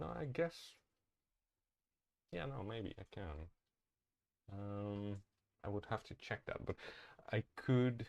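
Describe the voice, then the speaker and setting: Lively intonation marks this very slow delivery in a non-native accent, broken by long, frequent pauses. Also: man, fairly low pitch for a man. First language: not English. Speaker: streamer. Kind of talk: live-stream tutorial. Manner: halting, many fillers.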